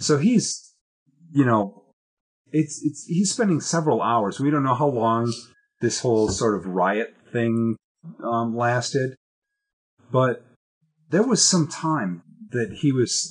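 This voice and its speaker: Over a quiet background, a man speaks very slowly and somewhat breathily with lively intonation. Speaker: Bible study leader. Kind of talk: Bible study discussion. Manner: halting, many fillers and repeated words. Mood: relaxed, conversational. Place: classroom. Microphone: webcam.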